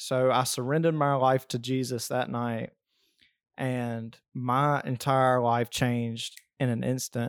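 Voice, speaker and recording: A man with an Alabama accent speaks at a fairly slow pace and medium pitch with monotone, flat intonation. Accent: Southern US (Alabama). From US South, South Alabama. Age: 20s. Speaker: podcast co-host, construction worker. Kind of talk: casual chat.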